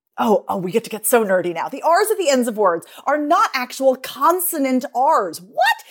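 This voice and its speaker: In an American accent, a woman talks at a moderate pace. Her high voice moves through very wide pitch swings. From United States. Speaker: dialect and speech coach, author. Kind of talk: casual chat with passages read aloud from her book. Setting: remote online recording.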